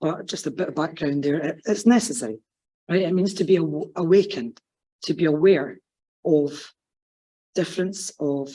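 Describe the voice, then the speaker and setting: A Scottish accent with a dark, mellow tone, lively intonation and a moderate pace. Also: woman. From Scotland, West Lothian. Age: adult, PhD student. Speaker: academic sociologist. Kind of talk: conference talk. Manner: casual, off-the-cuff.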